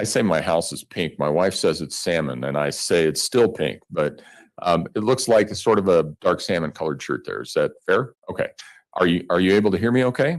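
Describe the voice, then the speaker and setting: A man speaks at a very deep, low pitch. His intonation is lively. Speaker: judge. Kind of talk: courtroom jury instructions. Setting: courtroom. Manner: formal.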